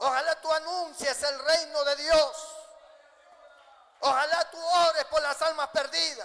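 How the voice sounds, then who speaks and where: The voice is raised and projected, bright and sharp in tone, moving at a very slow pace with fairly even intonation. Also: man. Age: 60s. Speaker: pastor. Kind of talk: sermon.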